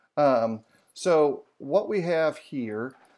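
A quiet background behind a man speaking. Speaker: bible study host. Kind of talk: lecture. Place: home room.

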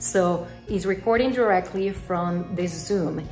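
A woman at a fairly slow pace with ordinary pitch variation, audible room echo and faint background music. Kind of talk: tutorial. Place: home room. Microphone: phone near.

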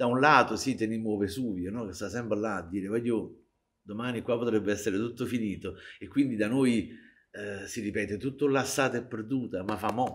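A man at a fairly quick pace, fairly even in intonation, against a quiet background. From Naples, Italy (San Giovanni a Carbonara). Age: 60s. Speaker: popularizer of Neapolitan culture. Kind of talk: interview. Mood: playful, humorous. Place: stage.

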